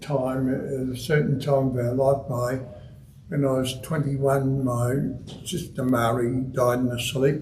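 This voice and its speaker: A man speaks with an Australian accent, his pitch fairly high. Some room echo can be heard. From Melbourne, Australia (Heidelberg area). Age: 70s. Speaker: retired footballer, guest speaker. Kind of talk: after-dinner style talk. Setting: club meeting room with audience.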